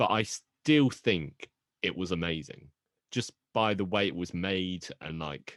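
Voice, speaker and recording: A man's very deep, low voice in a British accent, very slow, with ordinary pitch variation, dry and close with no echo, over a quiet background. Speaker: podcast co-host. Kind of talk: casual chat.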